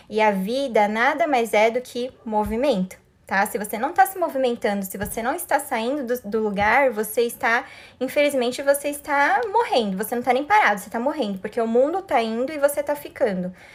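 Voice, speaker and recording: A woman with a high pitch talks at a fairly quick pace, her intonation lively. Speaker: life coach. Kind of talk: live stream talk. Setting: live stream. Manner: fast.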